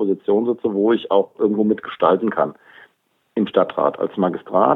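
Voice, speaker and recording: An ordinary speaking voice at a fairly quick pace. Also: man. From Germany, Hofheim am Taunus (Hesse). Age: 50s. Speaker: police officer and local politician. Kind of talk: interview.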